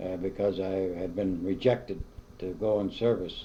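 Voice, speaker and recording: A man's fairly low, dark, mellow voice with an Upper Midwest accent and monotone, flat intonation. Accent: Upper Midwest American. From US Midwest, Madison, Wisconsin. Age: 70s. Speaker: interviewee, retired local resident. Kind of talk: oral history interview. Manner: halting, many fillers.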